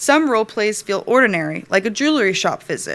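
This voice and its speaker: A woman with an American accent speaks at medium pitch and a moderate pace, with lively intonation, in a plain, everyday voice. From Rhode Island, USA. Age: 30s. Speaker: design writer, graduate student. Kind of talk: thesis presentation.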